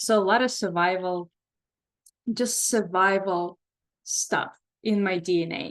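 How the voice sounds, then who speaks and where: A woman in an Eastern European accent, medium in pitch, fairly slow, with fairly even intonation and long, frequent pauses. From Belarus. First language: Russian. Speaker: psychotherapist leading a workshop. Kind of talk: online workshop talk. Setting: video call.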